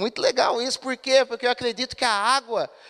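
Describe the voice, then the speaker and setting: In a dry, close recording with no echo, a man with an extremely high pitch uses a raised, projected voice with a bright, sharp tone. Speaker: pastor. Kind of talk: sermon. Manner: conversational, asks the congregation questions.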